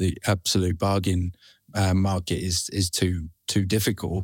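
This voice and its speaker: Very deep and low, a man's voice comes through dry and close with no echo, in a very clean recording with a silent background. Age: 40s. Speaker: brand co-founder, former management consultant. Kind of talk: podcast interview.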